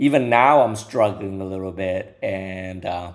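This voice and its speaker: Fairly low in pitch and fairly slow, a man speaks with a slight non-native accent and ordinary pitch variation. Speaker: co-host. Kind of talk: casual chat. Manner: halting, repeats words.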